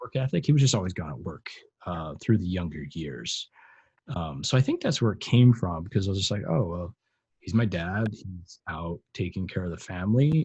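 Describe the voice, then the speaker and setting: Over a quiet background, a man with a very deep, low pitch and a dark, mellow tone speaks at a moderate pace, somewhat breathy, with very wide pitch swings and big swings in loudness. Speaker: podcast co-host being interviewed. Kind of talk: casual interview chat. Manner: hesitant, many fillers.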